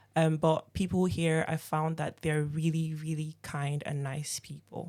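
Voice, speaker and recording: With a slight Nigerian accent, a woman speaks in a very deep, low pitch and monotone, flat intonation on a very clean recording with a silent background. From Nigeria, Lagos. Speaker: operations team member. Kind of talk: casual chat.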